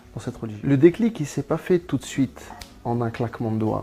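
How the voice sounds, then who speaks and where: Music can be heard behind the speech. The man's voice is pitched in the middle range and moves up and down in a normal way. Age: 30s. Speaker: convert giving testimony. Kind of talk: testimony. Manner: halting, many hesitations.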